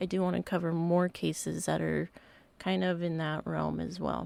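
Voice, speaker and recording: Someone talks at a moderate speed. The audio is very clean and the background is silent. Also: woman. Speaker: podcast host. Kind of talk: casual podcast talk.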